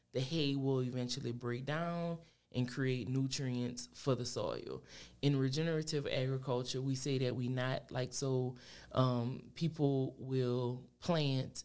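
Very slowly and in a south Louisiana accent, a woman speaks with a very deep, low pitch and a dark, mellow tone, her intonation monotone and flat. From Louisiana, New Iberia. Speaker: entrepreneur and small farmer. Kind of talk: casual interview.

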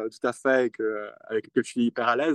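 A man talks at a medium pitch with flat, monotone intonation. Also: dry, close sound with no echo. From Geneva, Switzerland. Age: 20s. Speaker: youth climate delegate. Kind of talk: interview. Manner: halting, with many repeated words.

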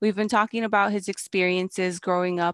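A woman with an American accent speaks at a medium pitch. The recording is very clean, dry and close, with no echo and a silent background. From Chicago. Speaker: podcast host. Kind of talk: casual chat. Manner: animated.

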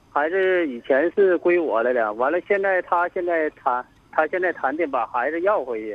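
A man talks at a fairly high pitch. His intonation is lively and his pace moderate. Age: 30s. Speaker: radio call-in caller. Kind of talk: phone-in advice call. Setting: phone call. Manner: halting.

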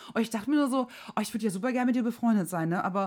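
Here a woman talks at a very fast pace. Her tone is animated and her intonation lively. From southern Germany, Swabia/Franconia border. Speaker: podcast co-host. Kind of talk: casual chat.

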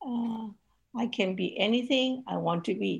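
Somewhat breathy, the voice shows ordinary pitch variation. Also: woman. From Hong Kong. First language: Cantonese. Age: 70s. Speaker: ministry leader and women's advocate. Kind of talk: casual interview.

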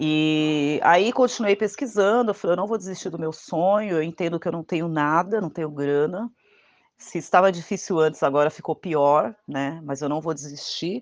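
A woman's fairly low voice at a moderate pace, with ordinary pitch variation and a quiet background. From Brazil, São Paulo (Diadema, ABC Paulista). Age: 40s. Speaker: traveller. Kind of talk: testimony. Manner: halting.

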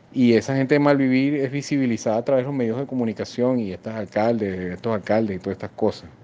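Ordinary pitch variation marks this man's dark, mellow tone at a fairly quick pace. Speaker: Venezuelan migrant interviewee. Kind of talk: street interview.

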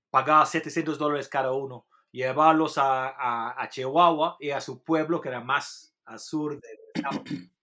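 Speaking in an English accent, a man with a fairly high pitch and a bright, sharp tone keeps a fairly slow pace with hardly any pauses, fairly even intonation and big swings in loudness. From England. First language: English (speaking Spanish). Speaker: journalist and author. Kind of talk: interview. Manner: halting.

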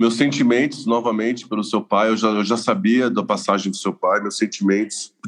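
A man talks in an unremarkable speaking voice at medium pitch with ordinary pitch variation. He keeps a moderate pace with hardly any pauses. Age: 40s. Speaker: lawyer and spiritual seeker. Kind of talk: testimony.

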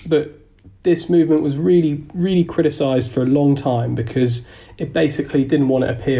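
Talking very fast in a London accent, a man has a dark, mellow tone that is somewhat breathy. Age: 20s. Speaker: environmental activist. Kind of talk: casual chat.

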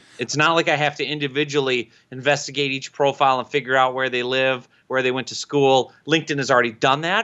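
Fairly high-pitched man with an Upper Midwest accent. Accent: Upper Midwest American. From Minnesota. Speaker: LinkedIn marketing expert and author. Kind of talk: interview. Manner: animated.

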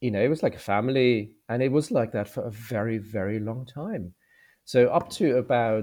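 Against a quiet background, a man with a dark, mellow tone speaks at a medium pitch with ordinary pitch variation. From Germany. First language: German. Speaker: veterinarian and graduate recruitment manager. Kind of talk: interview.

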